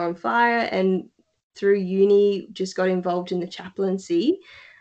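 This woman has an Australian accent and a medium pitch. Her tone is dark and mellow, and she keeps a moderate pace. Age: 20s. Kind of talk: casual interview.

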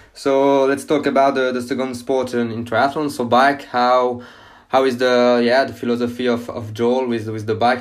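A French accent marks this voice. It belongs to a man. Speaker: podcast host. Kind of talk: interview. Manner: halting.

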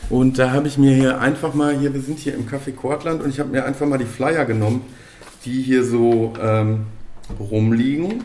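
Medium pitch and fairly even intonation in a man's unremarkable speaking voice. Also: moderate pace. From Bochum, Ruhr area, Germany. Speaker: podcast host. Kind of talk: casual chat. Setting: café.

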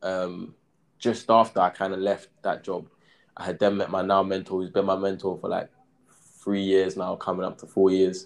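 A man's fairly low voice with a London accent, at a moderate pace against a quiet background. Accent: London English (Multicultural London English). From south London (Brixton). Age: 20s. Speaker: property developer and crypto entrepreneur. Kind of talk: casual interview. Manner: hesitant, many fillers.

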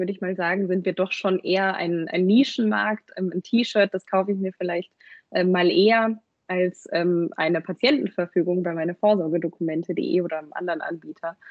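A woman speaks at a moderate pace. Her medium pitch varies in an ordinary way. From Germany, Munich. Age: 20s. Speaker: product owner. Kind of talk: podcast interview. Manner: hesitant, many fillers.

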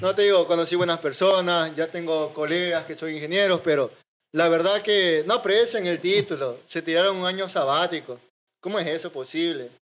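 A man's high-pitched voice with a coastal Ecuadorian accent, at a moderate pace. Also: ordinary pitch variation. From Ecuador, Manta (coastal Manabí). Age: 20s. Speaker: IT student and media producer. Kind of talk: casual chat.

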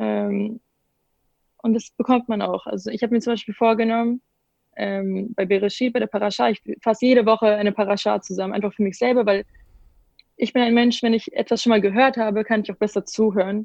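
Flat, monotone delivery at a fairly quick pace, with a dry, close sound and no echo. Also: woman, fairly high pitch for a woman. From Bavaria, Munich. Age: young. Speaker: gap-year program participant. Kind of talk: casual interview.

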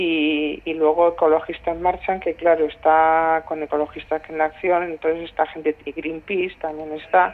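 Moderately paced, the delivery stays in a monotone, flat intonation. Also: woman. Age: 60s. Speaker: environmental activist. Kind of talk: interview. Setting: phone call. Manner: halting.

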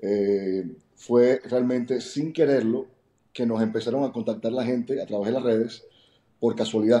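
A man speaks at a moderate pace in a medium pitch. His tone is dark and mellow, with fairly even intonation. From Cuba. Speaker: network marketing entrepreneur. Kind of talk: interview. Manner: halting, frequent word repetitions.

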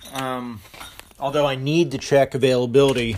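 A man's voice over noticeable background noise. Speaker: caller, fellow gaming podcaster. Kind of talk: voicemail call-in.

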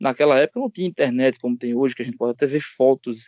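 A man with a Pernambuco accent is recorded dry and close, with no echo. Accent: Pernambuco northeastern Brazilian. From Pernambuco agreste, Gravatá. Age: 30s. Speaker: podcast co-host, DeMolay senior member. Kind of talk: casual chat.

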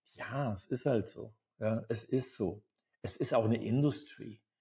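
A man with a dark, mellow tone and a somewhat breathy quality speaks at a fairly slow pace with ordinary pitch variation. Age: 70s. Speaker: acting coach. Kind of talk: live seminar talk. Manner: animated.

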